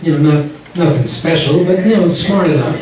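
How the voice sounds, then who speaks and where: A man is speaking. Audible room echo and noticeable background noise come through around him. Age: 60s. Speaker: stand-up comedian. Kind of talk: stand-up. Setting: stage with audience. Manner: animated.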